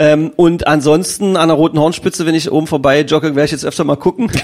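A man with an unremarkable speaking voice talks at a fairly quick pace and a fairly high pitch, with ordinary pitch variation. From Magdeburg, eastern Germany. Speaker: podcast host. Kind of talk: casual interview.

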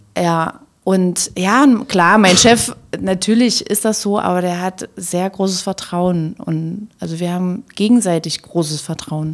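A woman speaks at a very slow pace, her medium pitch showing ordinary variation. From Magdeburg, eastern Germany. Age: 40s. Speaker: marketing manager of a housing cooperative. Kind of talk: casual interview. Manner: laughs a lot.

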